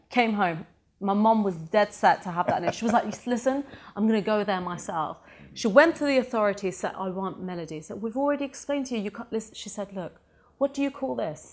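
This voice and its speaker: Someone talks at a very fast pace in an animated tone with lively intonation. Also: woman, fairly high pitch for a woman. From Sweden, then UK from age 13. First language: Persian. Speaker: motivational speaker and business founder. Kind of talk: interview.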